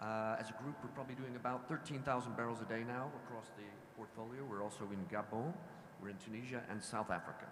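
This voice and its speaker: A man talks at a very fast pace with a medium pitch. His pitch variation is ordinary, and audible room echo surrounds him. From US, Washington DC. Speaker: oil company executive. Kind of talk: panel discussion.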